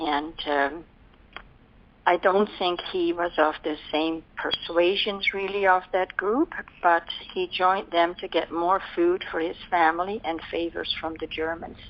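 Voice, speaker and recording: A woman with a Dutch accent, fairly low in pitch, at a fairly slow pace with fairly even intonation. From Netherlands. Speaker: war survivor. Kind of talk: oral history interview answer.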